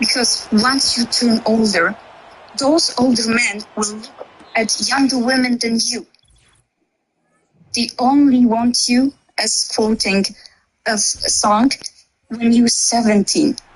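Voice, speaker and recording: Speaking very slowly with long, frequent pauses, a woman with a non-native accent keeps a fairly high pitch and fairly even intonation. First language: not English. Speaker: debate participant. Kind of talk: heated debate. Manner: halting.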